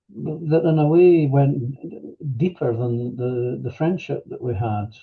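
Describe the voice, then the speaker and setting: At a very slow pace, a man with a medium pitch and ordinary pitch variation sounds somewhat breathy. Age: 70s. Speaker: retired manager, workshop participant. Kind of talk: personal testimony interview. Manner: halting, many fillers; reflective, unhurried.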